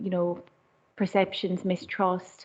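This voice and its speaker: With an Irish accent, a woman speaks at a fairly low pitch and a moderate pace. Her intonation is monotone and flat. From Ireland. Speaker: community charity worker. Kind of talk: panel talk. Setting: council chamber meeting. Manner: halting.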